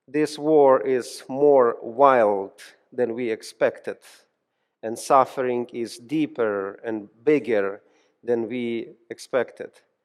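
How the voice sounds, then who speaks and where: Speaking very slowly, a man with a Ukrainian accent holds a medium pitch and fairly even intonation. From Ukraine. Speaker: pastor and seminary professor. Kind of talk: sermon. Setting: church. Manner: halting.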